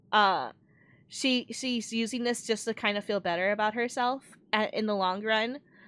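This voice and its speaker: On a very clean recording with a silent background, a woman talks at a moderate pace, her fairly high pitch showing ordinary pitch variation. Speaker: vtuber streamer. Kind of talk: casual chat. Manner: soft-spoken.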